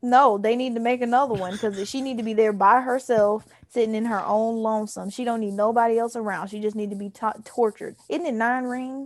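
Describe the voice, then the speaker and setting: Talking at a fairly quick pace with hardly any pauses, a woman with an American accent, a fairly high pitch and a plain, everyday voice keeps a fairly even intonation. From US South. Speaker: podcast co-host. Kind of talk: casual chat.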